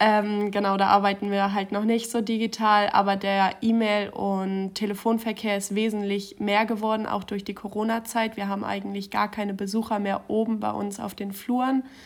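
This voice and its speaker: A woman of medium pitch speaks at a moderate pace in a monotone, flat delivery. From Schleswig-Holstein. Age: 20s. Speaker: trainee civil servant and student. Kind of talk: interview.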